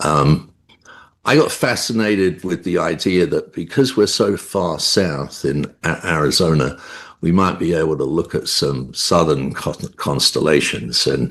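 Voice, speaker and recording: A man speaks with a London accent and a very deep, low pitch. His fairly slow delivery has vocal fry and ordinary pitch variation. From England, London. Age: 70s. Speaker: amateur astronomer. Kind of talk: interview. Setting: video call. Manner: halting.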